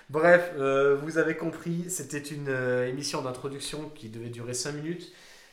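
A man with a fairly high pitch speaks at a moderate pace with fairly even intonation, his loudness swinging widely over noticeable background noise. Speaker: football podcast host. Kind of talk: casual chat.

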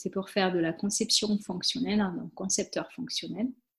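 A woman speaks in a fairly high voice with ordinary pitch variation. Her tone is dark and mellow, and somewhat breathy. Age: 30s. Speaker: systems engineer. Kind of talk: casual interview.

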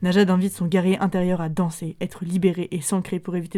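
A woman speaks at a very fast pace in a fairly low voice with a dark, mellow tone. Her intonation is monotone and flat. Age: 30s. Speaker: music podcast host. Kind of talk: casual music show presenting.

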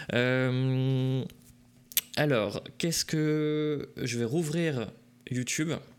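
A man speaks at medium pitch and a very slow pace with long, frequent pauses, fairly even intonation, and noticeable background noise. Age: 20s. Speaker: video game magazine stream host. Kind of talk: casual chat on live stream. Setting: live Twitch stream.

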